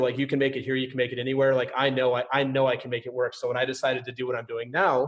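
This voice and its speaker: Speaking with an American accent, a man talks at a very fast pace. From US Midwest, suburbs of St. Paul, Minnesota. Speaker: podcast host. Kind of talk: casual interview chat. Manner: high energy.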